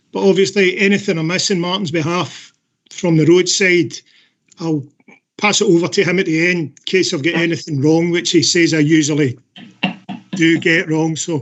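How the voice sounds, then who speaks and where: Scottish accent from a man with a high voice, moderate pace, fairly even intonation and long, frequent pauses. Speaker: council officer presenting a report. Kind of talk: report presentation at council meeting.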